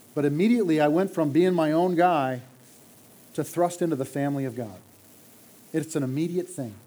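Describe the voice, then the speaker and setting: With a dark, mellow tone and a fairly high pitch, a man talks at a fairly quick pace with ordinary pitch variation, breaking often for long pauses. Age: 50s. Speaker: church elder. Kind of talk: sermon.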